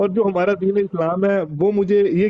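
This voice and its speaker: The delivery is fairly slow, and the sound is dry with no echo. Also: man. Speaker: PhD student caller. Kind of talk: call-in question. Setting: call into online broadcast. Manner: halting. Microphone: video call.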